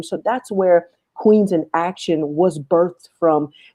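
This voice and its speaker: A woman speaks with a dark, mellow tone. Her pitch varies in an ordinary way over a quiet background. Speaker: guest speaker sharing life story. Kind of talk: testimony. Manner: halting.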